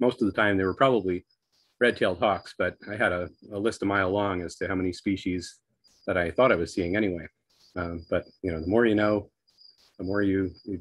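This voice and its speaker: With a plain, everyday voice, a man speaks at a fairly quick pace and fairly low pitch, the sound dry with no echo over a quiet background. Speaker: presenter. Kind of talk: lecture. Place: home room. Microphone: video call.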